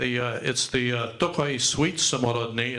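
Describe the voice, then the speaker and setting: A man with an unremarkable speaking voice talks at a moderate pace, medium in pitch, with fairly even intonation. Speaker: event host. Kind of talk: presenting wines at a live event. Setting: dinner event venue.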